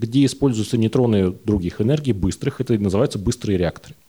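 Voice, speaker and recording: A somewhat breathy man with a dark, mellow tone and lively intonation. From Russia, Urals (Yekaterinburg area). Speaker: nuclear science popularizer, engineer. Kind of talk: live talk show panel. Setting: stage with audience.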